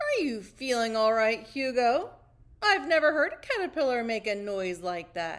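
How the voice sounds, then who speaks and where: Putting on a character voice, a woman talks at a moderate pace in a fairly high pitch. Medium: read story. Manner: teasing, jovial.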